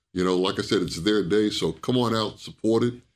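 In a New York accent, a man with a fairly low voice speaks at a moderate pace with ordinary pitch variation on a very clean recording with a silent background. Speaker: retired soldier, retirement services staff. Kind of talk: casual interview.

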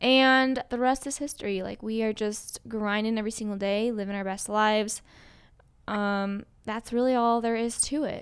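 Speaking with an American accent, a woman has an ordinary speaking voice, fairly high in pitch and fairly even in intonation. She keeps a moderate pace on a very clean recording with a silent background. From Colorado. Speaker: podcast co-host, fitness business owner. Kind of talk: casual chat.

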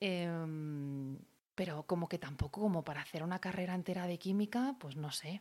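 A woman is speaking. Her voice is fairly low and her pace fairly quick. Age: 30s. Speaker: podcaster on natural cosmetics. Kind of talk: casual monologue. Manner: animated, with fillers and repetitions.

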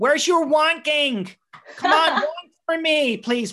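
A nasal, high-pitched put-on character voice at a fairly slow pace. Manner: annoying, coaxing.

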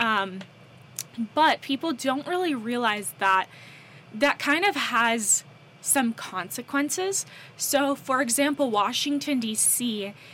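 In an American accent, the speaker goes very slowly with long, frequent pauses and lively intonation over noticeable background noise. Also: woman, high pitch for a woman. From North Carolina, US. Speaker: co-host/podcaster. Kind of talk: casual chat.

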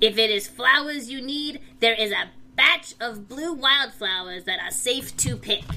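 A put-on, female-sounding character voice at a fairly slow pace. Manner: goofy.

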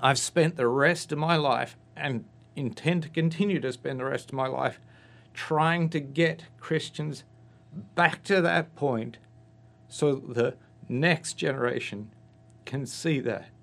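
Against a quiet background, a man speaks at a very slow pace with long, frequent pauses. His voice is fairly high, with ordinary pitch variation. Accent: Australian. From Australia. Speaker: guest giving testimony. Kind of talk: testimony, conversational interview. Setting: radio studio.

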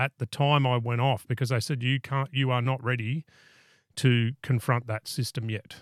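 A man with an Australian accent at medium pitch and moderate pace, his intonation monotone and flat, in a very clean, dry, close recording with a silent background and no echo. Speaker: podcast host. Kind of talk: casual interview chat.

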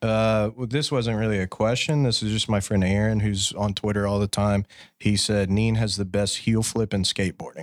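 A man with an ordinary speaking voice, fairly low in pitch, at a moderate pace with fairly even intonation and very even loudness. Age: 30s. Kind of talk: casual chat.

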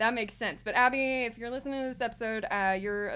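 Her tone bright and sharp, a woman speaks fairly quickly at a fairly high pitch with fairly even intonation. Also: very clean recording, silent background. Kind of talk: casual chat. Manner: joking, playful.

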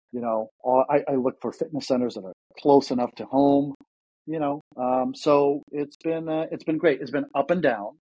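A man with an ordinary speaking voice, fairly high in pitch, at a moderate pace, with fairly even intonation and big swings in loudness. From Ukraine, then Toronto, Canada. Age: 30s. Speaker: former pro tennis player, real estate agent. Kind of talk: casual interview chat.

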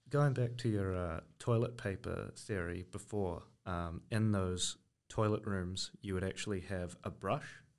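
Fairly low in pitch, a man speaks at a fairly slow pace with ordinary pitch variation. The background is quiet. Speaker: guest panelist. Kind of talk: casual banter. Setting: studio.

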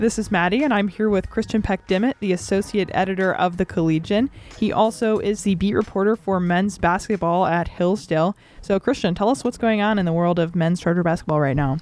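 A woman speaks in a plain, everyday voice at medium pitch and a fairly quick pace, with ordinary pitch variation, very even loudness and hardly any pauses. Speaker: college radio host. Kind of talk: interview and news reading. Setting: studio.

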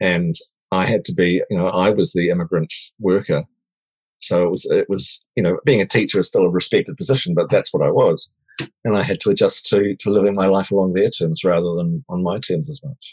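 A man with a New Zealand accent talks at a fairly quick pace in a fairly low pitch, with ordinary pitch variation. The sound is dry and close, with no echo. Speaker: diversity and inclusion advocate. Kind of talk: interview.

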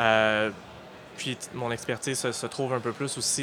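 Fairly slow speech from a man at a medium pitch, over noticeable background noise. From Halifax, Nova Scotia, Canada. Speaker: digital news editor. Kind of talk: interview. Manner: halting, many fillers.

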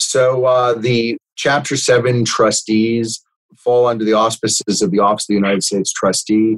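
With an American accent, a man speaks in an ordinary speaking voice at medium pitch, with fairly even intonation, a moderate pace and a dry, close sound with no echo. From South Florida, North Miami. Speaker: bankruptcy trustee and lawyer. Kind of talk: interview.

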